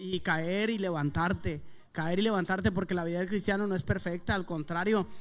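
The man has a high-pitched voice. His pace is fairly quick. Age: 20s. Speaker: rapper. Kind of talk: testimony.

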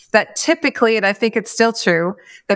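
A woman has an unremarkable speaking voice. Her pitch is fairly high, with ordinary pitch variation. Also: very clean recording, silent background. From Atlantic Canada, Maritimes. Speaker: business consultant and former CEO. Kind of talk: interview conversation.

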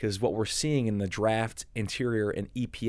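A man's ordinary speaking voice, fairly low in pitch with fairly even intonation, at a fairly quick pace in a very clean recording with a silent background. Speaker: environmental lawyer and lobbyist. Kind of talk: podcast interview.

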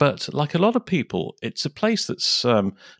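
On a very clean recording with a silent background, a man with a fairly high pitch and vocal fry talks at a moderate pace with very wide pitch swings. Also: dry, close sound with no echo. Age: 50s. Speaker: photographer. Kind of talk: interview. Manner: hesitant, with fillers and repetitions.

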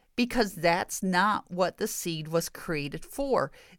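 A woman with an American accent, medium-pitched and fairly slow, her intonation lively on a very clean recording with a silent background. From US Midwest, rural Michigan. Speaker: preacher and podcast host. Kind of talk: sermon-style Bible teaching. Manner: emphatic, repetitive.

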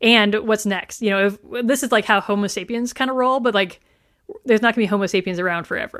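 A woman talks at a very fast pace with a fairly high pitch and fairly even intonation, recorded very cleanly against a silent background. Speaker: podcast host. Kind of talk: casual chat.

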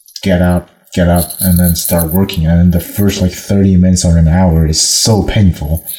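With a non-native accent, a man speaks at a very deep, low pitch in a dark, mellow, somewhat breathy tone and fairly even intonation. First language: not English. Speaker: language practice partner. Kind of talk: casual chat. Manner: fast talker.

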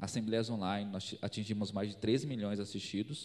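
In a normal speaking voice, a man with a fairly low pitch talks at a moderate pace with fairly even intonation. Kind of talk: panel talk at a conference.

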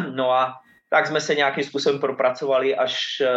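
With ordinary pitch variation, a man speaks at a moderate rate. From Slovakia, near Martin. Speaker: football coach, former professional footballer. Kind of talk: interview. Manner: halting, repeats words.

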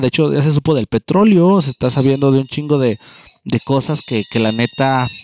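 An animated man at a medium pitch with lively intonation, on a very clean recording with a silent background and a dry, close sound with no echo. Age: 30s. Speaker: podcaster. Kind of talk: casual monologue.

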